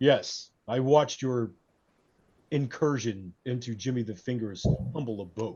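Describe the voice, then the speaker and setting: Put-on character voice at a moderate pace with long, frequent pauses. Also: man, medium pitch for a man. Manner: menacing, theatrical.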